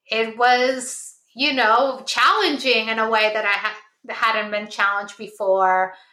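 A woman's fairly high voice, bright and sharp in tone, at a very slow pace with ordinary pitch variation and audible room echo. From Peru (Lima). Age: 40s. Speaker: philosopher. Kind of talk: casual chat.

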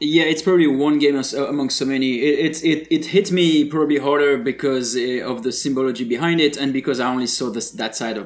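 Speaking at a fairly quick pace, a man with a fairly high pitch is heard over noticeable background noise. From France. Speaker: podcast co-host, game developer. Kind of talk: casual chat.

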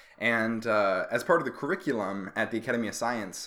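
A man speaks at a fairly quick pace in a medium pitch. It is an unremarkable speaking voice on a very clean recording with a silent background. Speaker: astronomy PhD student and podcast host. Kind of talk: casual conversational podcast.

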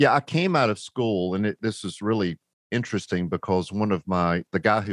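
The speaker has a North Carolina accent and ordinary pitch variation. The sound is dry and close with no echo, against a quiet background. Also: man. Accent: Southern US (North Carolina). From US South, rural North Carolina. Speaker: business founder. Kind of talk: interview storytelling.

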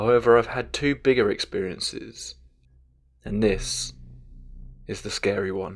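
A man speaks in a solemn, dramatic tone. His pace is fairly slow, with long, frequent pauses. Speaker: horror story narrator. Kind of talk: scripted narration of first-person ghost story. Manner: measured, solemn, eerie tone with dramatic pauses.

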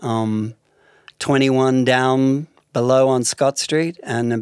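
In an Australian accent, a man talks at a very slow pace and medium pitch, with a dry, close sound with no echo and a very clean recording over a silent background. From Melbourne, Australia. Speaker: artist and novelist. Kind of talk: interview conversation.

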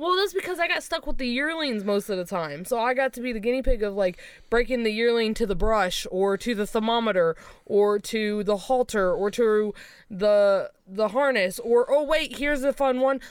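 Pitched fairly high, a woman speaks at a moderate pace with lively intonation and an animated tone. The recording is very clean, against a silent background. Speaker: podcast co-host. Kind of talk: casual chat. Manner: loud.

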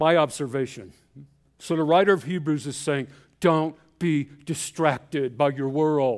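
A man with an ordinary speaking voice speaks at a fairly slow pace and a fairly high pitch with ordinary pitch variation. The recording is very clean, with a silent background. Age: 60s. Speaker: missionary pastor. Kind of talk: sermon. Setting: church.

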